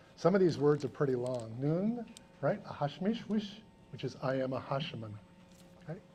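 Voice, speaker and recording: In an American accent, a man with a fairly high pitch and a dark, mellow, somewhat breathy tone speaks at a moderate pace, his pitch swinging very widely between long, frequent pauses. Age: 60s. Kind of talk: educational talk to students. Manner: conversational, frequent 'right?' tags.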